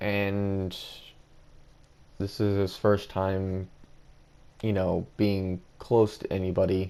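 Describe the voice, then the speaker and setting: Speaking very slowly with long, frequent pauses, a man with a dark, mellow tone and fairly low pitch keeps a monotone, flat intonation. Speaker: fan-fiction storyteller. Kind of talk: casual storytelling narration. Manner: halting, repetitive.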